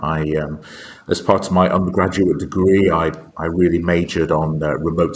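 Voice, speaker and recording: A man with a British accent speaks in a very deep, low pitch. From UK. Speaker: aerospace strategy executive. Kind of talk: podcast interview. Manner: hesitant, many fillers.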